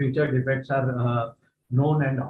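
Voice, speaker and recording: Somewhat breathy and fairly high in pitch, a man speaks at a fairly quick pace with monotone, flat intonation. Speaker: retired vigilance officer and trainer. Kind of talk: lecture. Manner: fast.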